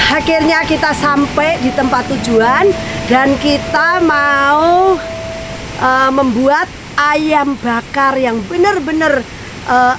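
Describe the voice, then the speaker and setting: Over noticeable background noise, a woman talks very slowly at a high pitch. Her loudness stays very even and her pitch varies in an ordinary way. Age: 50s. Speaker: cooking and travel vlogger. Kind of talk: casual vlog chat. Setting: outdoors. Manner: animated.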